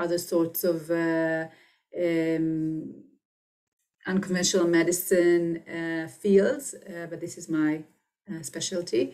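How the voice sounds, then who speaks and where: Speaking at a very slow pace with long, frequent pauses, a woman with a fairly low pitch and a dark, mellow tone keeps a monotone, flat intonation while her loudness swings widely. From Israel. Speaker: lactation consultant. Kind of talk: lecture. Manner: halting.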